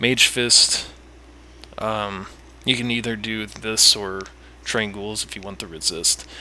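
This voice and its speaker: Mumbling at a fairly slow pace, a man with a fairly low pitch shows ordinary pitch variation. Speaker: gamer giving a game guide. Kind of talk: casual game tutorial talk. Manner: rambling, mumbling with pauses.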